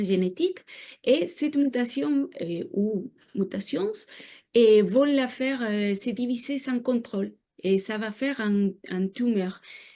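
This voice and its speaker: Very slowly, a woman speaks in a dark, mellow tone at a fairly high pitch. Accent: non-native. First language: not French (speaking French). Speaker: researcher. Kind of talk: lecture. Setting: seminar room with audience. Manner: halting, many hesitations.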